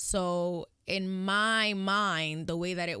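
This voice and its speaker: A woman's fairly low-pitched voice with a bright, sharp tone and ordinary pitch variation, on a very clean recording with a silent background. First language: Spanish. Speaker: podcast host. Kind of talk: casual monologue. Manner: frequent ums while searching for words.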